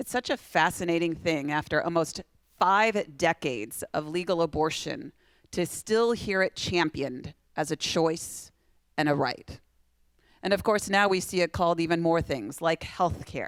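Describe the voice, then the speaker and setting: A woman with an American accent speaks at a moderate pace and fairly low pitch. The sound is dry and close, with no echo. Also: lively intonation, very clean recording, silent background. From Iowa. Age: 40s. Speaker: pro-life speaker, abortion survivor. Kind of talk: keynote speech at a fundraising dinner. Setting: stage with audience at a benefit dinner.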